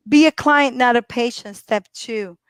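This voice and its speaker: In an animated tone, a woman speaks high with lively intonation. The recording is very clean with a silent background, dry and close with no echo. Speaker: physical therapist. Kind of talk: live stream talk.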